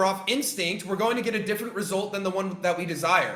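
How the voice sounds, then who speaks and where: In a raised, projected voice, a man speaks with a high pitch, an animated tone and ordinary pitch variation, with audible room echo and noticeable background noise. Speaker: trading coach. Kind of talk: lecture. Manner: loud.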